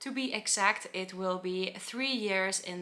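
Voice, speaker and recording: A woman with a Finnish accent, bright and sharp in tone, at a fairly slow pace. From Finland. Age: 20s. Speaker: travel vlogger. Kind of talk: vlog monologue. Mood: light, amused. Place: home room.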